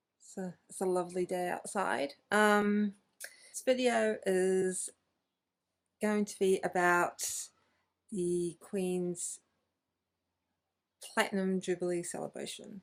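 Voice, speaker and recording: In a New Zealand accent, the speaker talks at a very slow pace with long, frequent pauses and big swings in loudness. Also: woman, medium pitch for a woman, ordinary pitch variation. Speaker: book YouTuber. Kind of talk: casual talk to camera. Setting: outdoors in garden. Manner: hesitant, many fillers.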